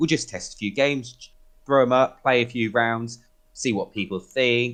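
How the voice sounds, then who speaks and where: In a British accent, a man with a medium pitch talks at a fairly quick pace. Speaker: community admin for a gaming group. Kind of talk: podcast interview. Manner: loud.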